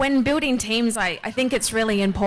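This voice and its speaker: With an Australian accent, a woman talks at a fairly quick pace with ordinary pitch variation over noticeable background noise. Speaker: blockchain business development lead. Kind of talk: conference panel discussion.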